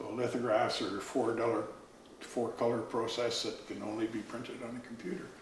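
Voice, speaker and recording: Noticeable background noise and audible room echo accompany talk delivered at a moderate pace. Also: man. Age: 70s. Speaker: artist and carver. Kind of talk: casual interview. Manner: halting.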